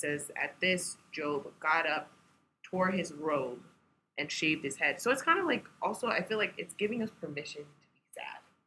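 A woman with an American accent and an unremarkable speaking voice, fairly low in pitch, at a moderate pace, with lively intonation and big swings in loudness. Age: 20s. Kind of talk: casual chat.

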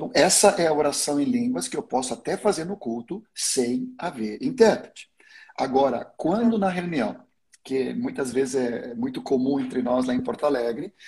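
A man speaks at a fairly high pitch with a dark, mellow tone. His voice is somewhat breathy and swings very widely in pitch. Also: moderate pace. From Sweden. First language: Swedish (speaking Portuguese). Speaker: pastor. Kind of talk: teaching in a livestream interview. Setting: online livestream.

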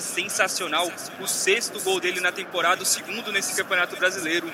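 A man talks at a fairly quick pace in an animated, enthusiastic tone. Noticeable background noise sits behind him. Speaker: radio match commentator. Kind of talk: live football commentary. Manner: animated, enthusiastic analysis.

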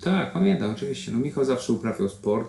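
A man speaks over noticeable background noise. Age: 40s. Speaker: triathlete and corporate trainer. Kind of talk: interview.

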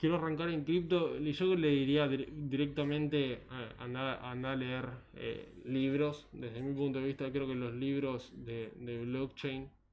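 With audible room echo, a man speaks fairly slowly at a fairly high pitch and with fairly even intonation. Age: 20s. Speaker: economist and financial analyst. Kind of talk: casual interview.

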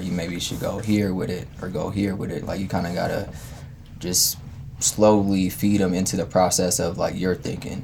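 A man with an American accent and very deep, low pitch, at a moderate pace with ordinary pitch variation, amid audible room echo and noticeable background noise. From Denver, US. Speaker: music producer. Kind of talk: casual interview. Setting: studio.

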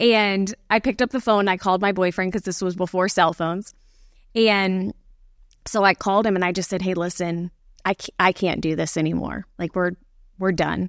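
A woman's medium-pitched, normal speaking voice with an American accent, fairly even intonation and a moderate pace, dry and close with no echo in a very clean recording with a silent background. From Florida, Gulf Coast (Bradenton, Sarasota area). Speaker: pastor. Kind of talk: casual chat.

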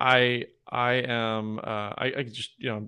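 Against a quiet background, a man talks with fairly even intonation in a normal speaking voice. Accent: American. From US South, Georgia. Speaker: podcast host and obstacle racer. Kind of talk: interview conversation.

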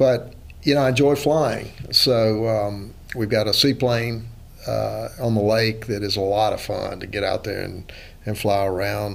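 A man talks at a fairly slow pace. He has a Southern US accent. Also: medium pitch for a man, fairly even intonation. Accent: Southern, North Carolina-tinged. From Louisiana. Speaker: real estate lawyer and investor. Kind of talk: casual chat.

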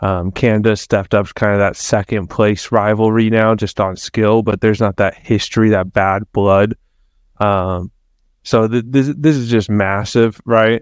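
At a fairly slow pace, a man in an ordinary speaking voice talks with fairly low pitch, fairly even intonation and very even loudness, the sound dry and close with no echo against a quiet background. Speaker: co-host and soccer coach. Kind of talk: casual podcast banter about soccer.

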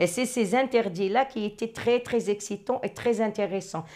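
This woman has a fairly high pitch and ordinary pitch variation. She talks at a moderate pace. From Morocco. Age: 60s. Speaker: interviewee. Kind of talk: personal storytelling interview. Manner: hesitant with repetitions.

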